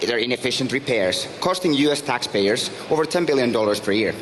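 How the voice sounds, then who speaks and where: A man's very fast speech in a Finnish accent, medium in pitch with ordinary variation, over noticeable background noise. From Finland. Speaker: startup founder and CEO. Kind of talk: pitch presentation.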